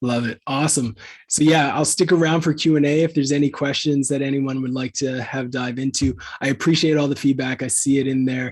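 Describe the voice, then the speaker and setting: Speaking at a fairly quick pace, a man with a slight Canadian accent uses fairly even intonation and a fairly high pitch. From Canada. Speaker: content marketing agency founder. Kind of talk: webinar Q&A.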